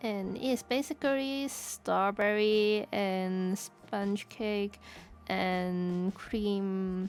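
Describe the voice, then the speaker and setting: Speaking very slowly, a woman has a slight non-native accent. Her voice sits at a medium pitch with ordinary pitch variation. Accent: slightly non-native English. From Hong Kong. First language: Cantonese. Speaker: streamer. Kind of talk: casual chat. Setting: live stream. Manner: halting, repeats words.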